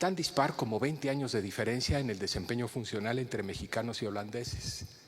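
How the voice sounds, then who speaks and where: Audible room echo around a man at medium pitch, speaking at a fairly quick pace with ordinary pitch variation. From Mexico City. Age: 60s. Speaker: geriatrician giving keynote lecture. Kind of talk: lecture. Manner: hesitant with frequent fillers and repetitions.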